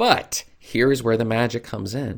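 A man speaks at a medium pitch with an American accent. He has an ordinary speaking voice and a fairly slow pace. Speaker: self-publishing coach / YouTuber. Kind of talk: tutorial.

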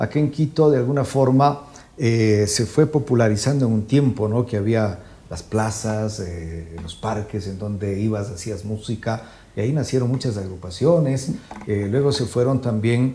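This is a plain, everyday voice with ordinary pitch variation, speaking at a fairly slow pace. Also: man, medium pitch for a man. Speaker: music show host. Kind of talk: interview. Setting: studio.

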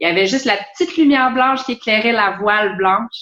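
The voice has a bright, sharp tone with ordinary pitch variation. It moves at a very fast pace. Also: woman. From Quebec, Longueuil. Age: 30s. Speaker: sailor and traveler. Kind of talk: casual interview.

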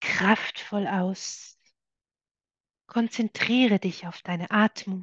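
A woman's somewhat breathy, medium-pitched voice at a very slow pace, with long, frequent pauses and fairly even intonation, dry and close with no echo against a quiet background. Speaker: meditation guide. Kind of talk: guided meditation. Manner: slow, soft, calming, gentle pacing.

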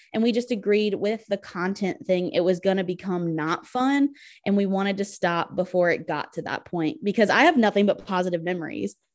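A woman speaks at a medium pitch with ordinary pitch variation in an ordinary speaking voice, on a very clean recording with a silent background. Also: hardly any pauses. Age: 20s. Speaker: teacher and podcast co-host. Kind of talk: casual chat.

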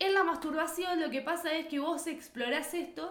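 Speaking at a moderate pace with a Rioplatense accent, a woman's extremely high voice carries audible room echo and noticeable background noise. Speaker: podcast co-host. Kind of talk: casual chat.

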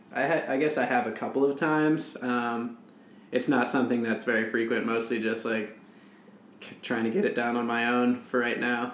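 A man speaks at a moderate pace with a medium pitch, very even loudness and fairly even intonation, over noticeable background noise. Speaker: co-host, runner. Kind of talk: casual chat.

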